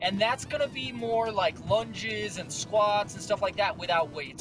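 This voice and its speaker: Over clear background music, a man speaks at a moderate pace in a dry recording with no echo. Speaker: fitness vlogger. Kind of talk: casual vlog chat. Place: car. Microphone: phone near.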